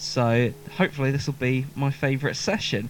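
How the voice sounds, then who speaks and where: With a southern English accent, a man speaks at a fairly high pitch in a very clean recording over a silent background. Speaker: musician and live session host. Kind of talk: casual live-stream chat. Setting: basement live stream.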